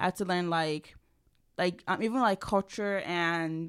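In a very clean recording with a silent background, the voice stays monotone and flat. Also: woman. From Nigeria. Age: 20s. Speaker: student journalist. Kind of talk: casual chat.

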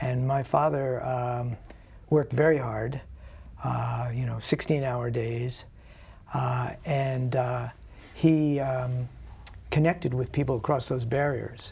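Pausing long and often, a man talks very slowly at a medium pitch. His voice is somewhat breathy, with fairly even intonation. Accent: American. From New Jersey. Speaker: nonprofit founder. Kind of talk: interview. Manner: halting.

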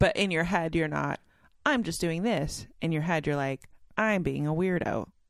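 A woman's unremarkable speaking voice, fairly low in pitch, with ordinary pitch variation, a moderate pace, and a very clean recording with a silent background. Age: 40s. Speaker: host's wife. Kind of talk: casual chat.

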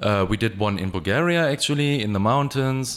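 In a German accent, a man with a medium pitch speaks at a moderate pace with lively intonation. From Germany, Essen. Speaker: music producer and DJ. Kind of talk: interview. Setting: studio.

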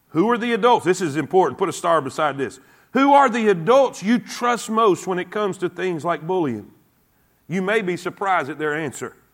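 A man speaks at a fairly quick pace with a Southern US accent, his pitch high and his intonation lively. The recording is very clean, with a silent background. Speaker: preacher. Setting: church. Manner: earnest, emphatic, repetitive, stammering, with audience prompts.

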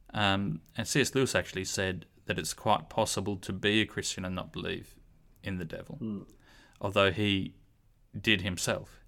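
A man with an Australian accent speaks at a moderate pace in a bright, sharp tone, his intonation fairly even. The recording is very clean, with a silent background. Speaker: podcast host. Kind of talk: casual discussion of a Bible study lesson. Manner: hesitant, with fillers.

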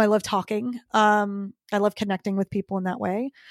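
Fairly high in pitch, a woman talks at a moderate pace in an ordinary speaking voice. The recording is very clean with a silent background, and the sound is dry and close with no echo. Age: 40s. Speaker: fitness coach and podcaster. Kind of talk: casual interview chat.

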